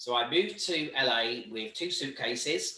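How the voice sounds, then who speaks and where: A man speaks with a British accent. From Britain. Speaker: volunteer organisation leader and trainer. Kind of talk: online training talk.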